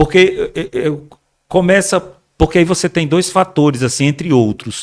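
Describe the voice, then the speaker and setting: A man's high voice, moving at a moderate pace, shows ordinary variation in pitch. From Brazil, Rio Grande do Norte (Mossoró). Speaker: actor. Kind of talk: podcast interview. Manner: halting, repeats words.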